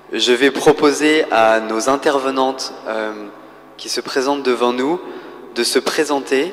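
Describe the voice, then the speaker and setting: Over noticeable background noise, a man with a medium pitch speaks very slowly, using ordinary pitch variation. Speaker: round table moderator. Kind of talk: panel moderation. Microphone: too far from the mic, hard to hear.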